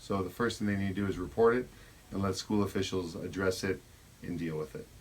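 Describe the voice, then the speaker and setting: This man's pitch is very deep and low, with ordinary pitch variation. He talks at a very fast pace. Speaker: school administrator. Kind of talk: interview. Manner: loud.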